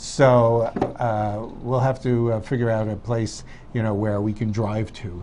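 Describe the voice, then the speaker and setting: Noticeable background noise runs under the recording. A man talks at a fairly slow pace and a medium pitch. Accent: New York. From New York. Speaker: talk show co-host. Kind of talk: casual chat.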